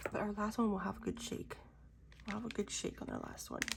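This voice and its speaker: A woman speaks fairly quickly while noticeable background noise carries on around her. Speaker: diamond painting content creator. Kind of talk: casual crafting vlog. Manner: casual, chatty.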